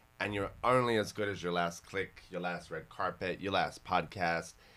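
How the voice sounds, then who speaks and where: A man with a slight Australian accent speaks at a moderate pace in a very deep, low voice, his tone bright and sharp, his pitch varying in an ordinary way, on a very clean recording with a silent background. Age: 40s. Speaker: fashion podcast host. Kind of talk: casual podcast interview. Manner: animated.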